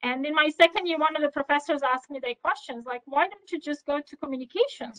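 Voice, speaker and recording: A woman with a non-native accent speaks very fast at a high pitch with ordinary variation. The sound is dry and close, with no echo. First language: not English. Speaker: power engineer, senior manager. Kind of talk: podcast interview. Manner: hesitant, many fillers.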